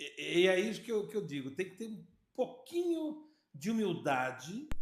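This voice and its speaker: A man's high-pitched voice, very wide pitch swings, a fairly slow pace, and audible room echo. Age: 60s. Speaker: podcast host and sales consultant. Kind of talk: casual chat.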